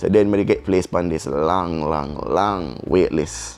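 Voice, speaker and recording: Over music in the background, a man talks in a very deep, low voice with a Jamaican accent. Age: young. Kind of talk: casual storytime talk to camera.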